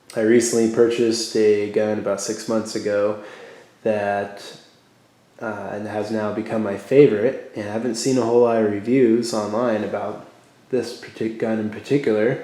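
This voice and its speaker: A man with a medium pitch speaks at a moderate pace, his loudness swinging widely, with audible room echo. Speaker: gun reviewer. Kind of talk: product review. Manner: halting, many fillers.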